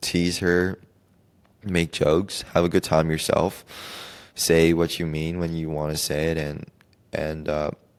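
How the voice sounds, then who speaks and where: A soft-spoken man with a very deep, low voice talks fairly slowly in a flat monotone, leaving long, frequent pauses. The recording is very clean, with a silent background. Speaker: podcast host. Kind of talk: solo podcast monologue. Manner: halting.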